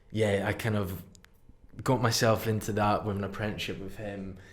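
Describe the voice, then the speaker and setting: With a Highland Scottish accent, a man speaks in a fairly low, flat monotone at a moderate pace with long, frequent pauses and audible room echo. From Scottish Highlands. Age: 20s. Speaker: tattoo artist. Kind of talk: casual chat. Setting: studio.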